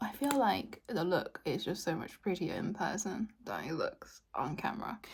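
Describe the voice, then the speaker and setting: A woman talks at a moderate pace with vocal fry. Her pitch swings very widely. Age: 30s. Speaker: beauty YouTuber. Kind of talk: product review monologue; casual outtake chat. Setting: home, in front of a window. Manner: casual, chatty.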